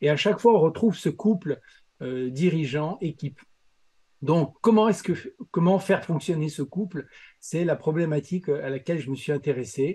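A man with a fairly high pitch and a dark, mellow tone speaks at a moderate pace, with ordinary pitch variation. His speech has long, frequent pauses, and the background is quiet. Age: 60s. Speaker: leadership coach and consultant. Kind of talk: podcast interview. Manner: animated.

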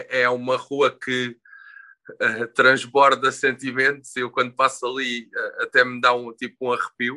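Medium pitch and a bright, sharp tone in a man's voice. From Portugal, Sesimbra. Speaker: illustrator and tattoo artist. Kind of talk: interview. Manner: halting, many fillers and repetitions.

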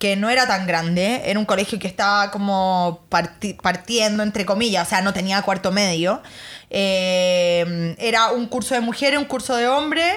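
A woman talks at a moderate pace with ordinary pitch variation. Her loudness stays very even. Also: medium pitch for a woman. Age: 30s. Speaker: lawyer, model and influencer. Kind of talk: casual interview chat.

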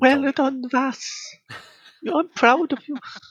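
This is a put-on character voice with a Greek accent. The voice sounds female and is high in pitch. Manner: proud, warm.

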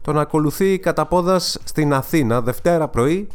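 Behind the voice, music is playing. The man's delivery is fairly slow. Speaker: podcast host and music presenter. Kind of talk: casual solo commentary podcast.

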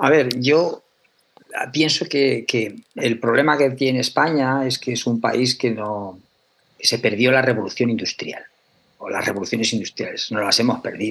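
A man with an unremarkable speaking voice talks fairly slowly at a medium pitch with ordinary pitch variation. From Aragón, Spain. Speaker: chemistry professor. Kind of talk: interview.

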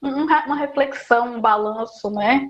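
Speaking with ordinary pitch variation, a woman uses a high-pitched voice. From Paraíba agreste, Brazil (rural area near Esperança). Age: 20s. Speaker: doctoral student, historian. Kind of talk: interview.

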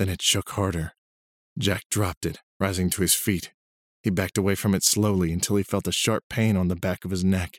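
Someone reads aloud plainly. Nothing much sounds in the background.

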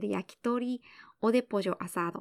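An unremarkable speaking voice at a fairly slow pace with ordinary pitch variation, in a dry, close recording with no echo, very clean with a silent background. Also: woman. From Japan. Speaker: podcast host and Spanish interpreter. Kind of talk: bilingual language-learning podcast. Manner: clear, measured delivery.

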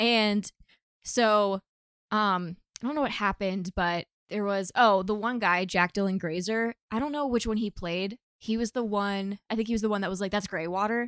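A woman with a plain, everyday voice at medium pitch speaks at a moderate pace with fairly even intonation, in a very clean recording with a silent background and a dry, close sound with no echo. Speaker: friend making brief appearance. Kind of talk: casual chat.

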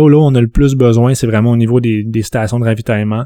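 A man's medium-pitched, dark, mellow voice in a monotone, flat intonation, on a very clean recording with a silent background. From Quebec, Saguenay (Jonquière). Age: 30s. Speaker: sports event producer. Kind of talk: casual interview.

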